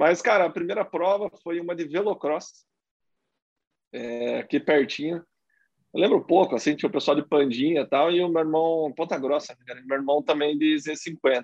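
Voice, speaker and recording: A man at a fairly high pitch, with ordinary pitch variation and a moderate pace. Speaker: motocross racer. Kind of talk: casual chat.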